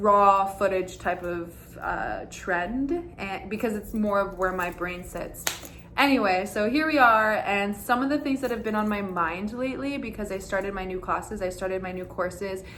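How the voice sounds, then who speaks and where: Noticeable background noise and audible room echo surround a woman's voice. She speaks at a moderate pace and medium pitch, with ordinary pitch variation. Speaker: dance teacher and content creator. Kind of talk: casual vlog monologue. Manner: loud; animated.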